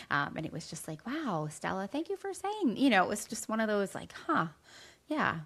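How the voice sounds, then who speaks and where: Her voice sits at a fairly high pitch. This woman's pitch swings very widely. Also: moderate pace. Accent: American. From New Jersey. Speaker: podcast co-host and teacher. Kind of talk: casual podcast chat.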